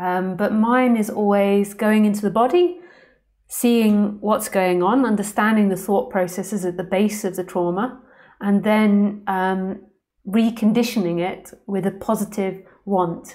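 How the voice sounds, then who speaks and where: A woman with a London accent, medium in pitch, dark and mellow in tone, fairly slow and fairly even in intonation, on a very clean recording with a silent background. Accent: London accent, often taken for Australian. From London, England. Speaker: spiritual teacher. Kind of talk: live stream Q&A. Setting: live stream. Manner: overpronounces words.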